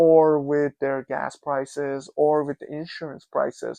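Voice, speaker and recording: Someone speaks with a non-native accent against a quiet background. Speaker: immigrant commentator. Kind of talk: casual talk to camera.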